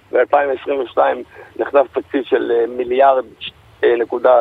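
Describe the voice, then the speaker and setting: A man at a very slow pace, over noticeable background noise. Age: 20s. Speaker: interview guest. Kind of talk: radio interview. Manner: halting.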